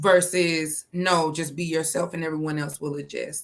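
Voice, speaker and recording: A woman with an American accent, fairly low-pitched, at a moderate pace with fairly even intonation. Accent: sounds less local to Georgians, code switches. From South Georgia, US (Fitzgerald). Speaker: guest. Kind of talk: casual chat.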